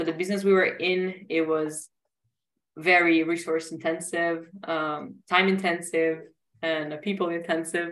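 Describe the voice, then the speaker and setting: In an Italian accent, a woman talks at a fairly slow pace with a fairly low pitch and monotone, flat intonation. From Italy. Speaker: startup founder and CEO. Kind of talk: interview.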